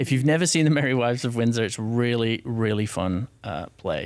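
In an American accent, a man speaks at a fairly quick pace with ordinary pitch variation on a very clean recording with a silent background. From northern England. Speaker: theater festival director. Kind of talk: casual interview. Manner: hesitant, many fillers.

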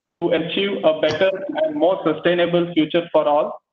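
Fairly quick speech from a man, light noise in the background and echo from the room audible. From India. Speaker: assistant professor and webinar moderator. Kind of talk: formal presentation and Q&A moderation. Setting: video call. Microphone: video call.

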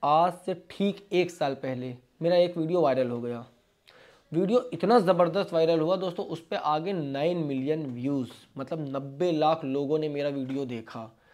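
A man speaks at a fairly slow pace and a fairly high pitch. His pitch varies in an ordinary way. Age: 20s. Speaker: vlogger, interior panel businessman. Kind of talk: motivational talk to camera. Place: office. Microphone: lapel.

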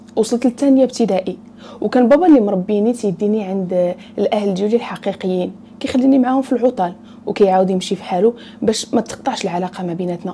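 A woman talks at a very fast pace with ordinary pitch variation. There is light background noise. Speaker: storyteller. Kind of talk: storytime narration. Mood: earnest, personal. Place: home room. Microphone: lapel.

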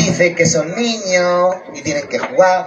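An animated male voice over crowd noise in the background. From Catalonia, Santa Coloma de Gramenet; Catalonia. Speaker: stand-up comedian. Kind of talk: stand-up. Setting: outdoor stage at neighbourhood festival with audience. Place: stage. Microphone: camera far.

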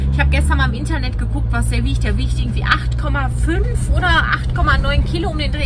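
A woman talks fairly quickly as loud noise carries on behind her. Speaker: travel vlogger. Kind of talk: casual vlog chat.

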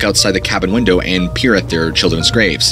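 A man at a fairly quick pace, with clear music in the background. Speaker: horror storyteller youtuber. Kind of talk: narrated storytelling. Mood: dark, suspenseful. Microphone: studio mic.

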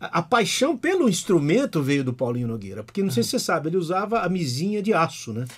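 Against a quiet background, a man with a high pitch talks at a very fast pace, his pitch swinging very widely. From Brazil. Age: 50s. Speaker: guitarist and singer; podcast guest. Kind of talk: casual chat. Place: studio. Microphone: studio mic.

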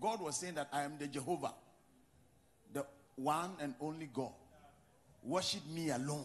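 Somewhat breathy, a man with a Ghanaian accent speaks at a moderate pace and a fairly high pitch. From Ghana, Western region. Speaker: pastor. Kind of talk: sermon. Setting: church. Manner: animated.

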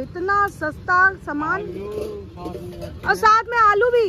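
Raising and projecting her voice at an extremely high pitch, a woman speaks with lively intonation, the sound dry with no echo over light background noise. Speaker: street food vlogger. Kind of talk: casual food vlog talk to camera. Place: street. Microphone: phone near.

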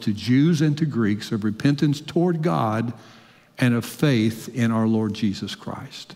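Against a quiet background, a man speaks at a fairly slow pace. His pitch varies in an ordinary way. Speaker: preacher. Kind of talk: sermon. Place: church. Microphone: headset.

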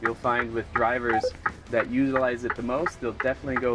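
A man talks at a moderate pace while music plays behind him. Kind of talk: interview answer. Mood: calm, informative. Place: car.

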